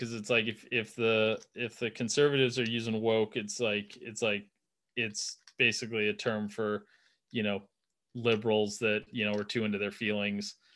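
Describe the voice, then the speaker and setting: An unremarkable speaking voice from a man, medium in pitch, at a moderate pace. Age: 30s. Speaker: NFL meme page creator and podcaster. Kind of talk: casual chat. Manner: rambling with repeated words.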